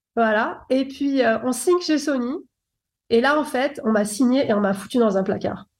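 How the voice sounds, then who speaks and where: A woman speaks with a high pitch at a fairly slow pace. Her loudness stays very even throughout. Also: ordinary pitch variation. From France, Paris. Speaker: former R&B singer turned producer. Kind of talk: interview.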